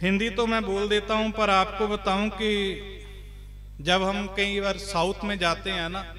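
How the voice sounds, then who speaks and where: Amid noticeable background noise and audible room echo, a man projects a raised, high-pitched voice with monotone, flat intonation. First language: Punjabi (speaking Hindi). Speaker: Sikh preacher. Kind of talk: religious discourse. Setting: gurdwara with congregation.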